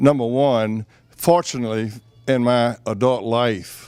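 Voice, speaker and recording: Speaking with a Southern US accent, a man holds a medium pitch. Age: 70s. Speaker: public utility commissioner. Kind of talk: candidate forum.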